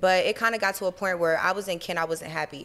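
Someone with an American accent talks at a very fast pace on a very clean recording with a silent background. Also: woman. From Cincinnati, Ohio. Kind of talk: casual chat. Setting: studio. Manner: animated.

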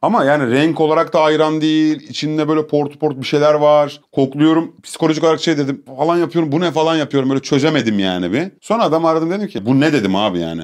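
The speech comes at a very fast pace with hardly any pauses. Pitch variation is ordinary, and the background is quiet. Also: man, fairly high pitch for a man. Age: young. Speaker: streamer. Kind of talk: casual chat. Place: studio.

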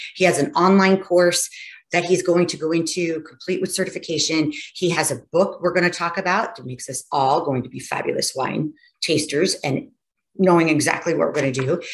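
A woman at a fairly low pitch and fairly quick pace, ordinary pitch variation, quiet background. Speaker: podcast host. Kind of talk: podcast intro to camera. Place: home room.

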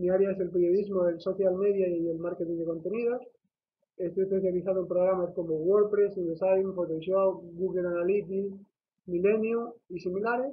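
A high-pitched man at a moderate pace with fairly even intonation, over light background noise. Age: 20s. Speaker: journalist. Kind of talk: video CV self-presentation. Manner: hesitant. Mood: formal, earnest.

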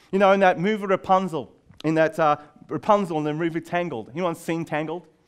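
A man with an Australian accent talks at a very fast pace in a high pitch, with ordinary pitch variation and a quiet background. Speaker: youth leader and speaker. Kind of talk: conference talk. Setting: stage with audience. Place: classroom. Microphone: headset.

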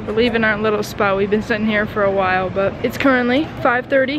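A woman's very fast speech with ordinary pitch variation, dry and echo-free, amid noticeable background noise. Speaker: travel vlogger. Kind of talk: casual vlog chat. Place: hall. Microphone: phone near.

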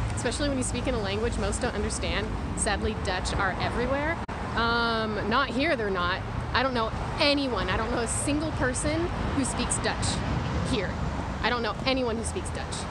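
Through loud background noise, a woman speaks at a moderate pace with a dry sound and no echo. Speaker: live streamer vlogger. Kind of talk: casual chat. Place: street. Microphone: phone near.

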